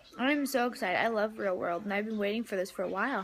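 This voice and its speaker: Over noticeable background noise, a woman speaks at a fairly quick pace with a fairly high pitch. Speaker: vlogger. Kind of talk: casual vlog.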